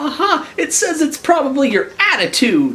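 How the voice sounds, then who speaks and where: At a moderate pace, a squeaky, high-pitched put-on character voice speaks. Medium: read story. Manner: stammering, timid.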